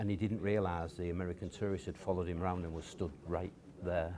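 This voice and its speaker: In a Yorkshire accent, the speaker talks at a very fast pace with a dark, mellow tone and monotone, flat intonation. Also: man. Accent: Yorkshire (Hull) English. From Hull, East Yorkshire. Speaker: businessman. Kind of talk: interview. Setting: stage with audience.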